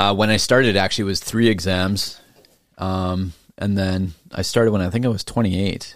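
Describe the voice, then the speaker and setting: Fairly low in pitch, a man with a plain, everyday voice speaks with fairly even intonation. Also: moderate pace. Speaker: real estate agent. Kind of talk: casual chat.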